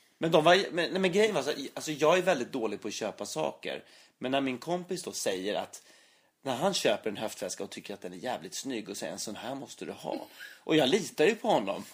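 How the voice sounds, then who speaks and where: A man's fairly high voice, touched with vocal fry, moves quickly with very wide pitch swings and big swings in loudness. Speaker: actor and podcast co-host. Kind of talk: casual chat.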